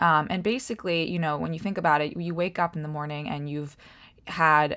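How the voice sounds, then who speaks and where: Recorded very cleanly against a silent background, a woman with an American accent speaks at a very deep, low pitch in a bright, sharp tone, with ordinary pitch variation. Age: 20s. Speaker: health coach and podcast host. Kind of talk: casual solo talk. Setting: at home by a window.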